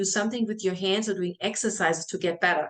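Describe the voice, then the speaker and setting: A woman's medium-pitched voice with a German accent, a very fast pace and fairly even intonation. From Germany, small village. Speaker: health and fitness coach. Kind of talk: welcome video talk to clients.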